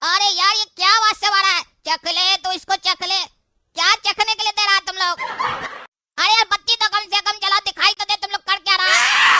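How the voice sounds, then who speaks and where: At a very fast pace, an extremely high-pitched cartoonish character voice rattles along. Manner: panicky, whiny.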